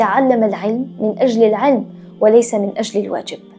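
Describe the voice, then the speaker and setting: Music plays in the background. Over it, a woman speaks in a fairly high pitch. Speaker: storyteller. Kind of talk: history documentary narration.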